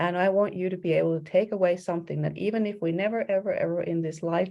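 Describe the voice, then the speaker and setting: Here a woman speaks at a fairly quick pace. Her pitch is medium. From Finland. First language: Finnish. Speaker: executive coach. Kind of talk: presentation. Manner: energetic.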